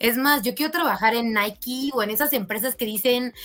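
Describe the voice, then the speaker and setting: This woman's voice sits at a fairly high pitch. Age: 20s. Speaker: pole dance athlete. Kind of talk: casual chat.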